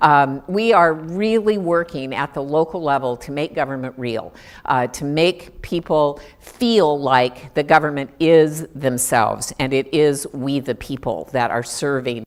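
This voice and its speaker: A woman's very deep, low voice at a fairly slow pace. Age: 60s. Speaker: state government official. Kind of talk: recorded talk to staff. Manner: conversational, with frequent fillers.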